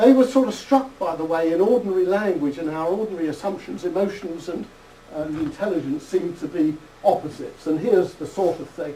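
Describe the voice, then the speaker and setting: A man with a British accent and a high pitch talks at a fairly quick pace with lively intonation. Noticeable background noise and audible room echo surround him. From United Kingdom. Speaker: psychology professor. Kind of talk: lecture.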